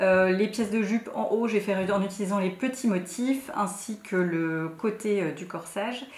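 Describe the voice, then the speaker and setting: A woman speaks with ordinary pitch variation. Room echo is audible. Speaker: sewing youtuber. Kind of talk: tutorial. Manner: hesitant, many fillers; soft-spoken.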